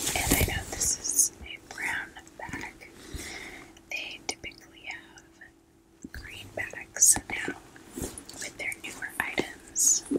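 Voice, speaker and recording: A woman's whispering at a very slow pace, gentle in tone, with big swings in loudness and long, frequent pauses. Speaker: ASMR creator. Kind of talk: ASMR unboxing, whispered talk to camera. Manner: whispered, gentle. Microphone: studio mic.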